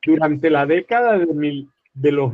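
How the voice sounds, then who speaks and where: Fairly high-pitched male speech with ordinary variation in pitch. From Colombia. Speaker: conflict resolution expert. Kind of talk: panel presentation. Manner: formal.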